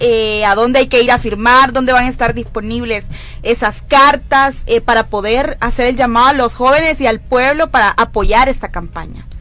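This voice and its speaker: A woman's high pitch and bright, sharp tone, with fairly even intonation at a moderate pace. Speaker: youth radio host. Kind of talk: live radio show.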